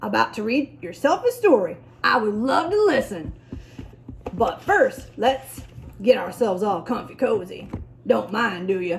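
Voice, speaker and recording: At a moderate pace, a woman uses a put-on character voice pitched fairly high. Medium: read story. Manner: clipped, breezy.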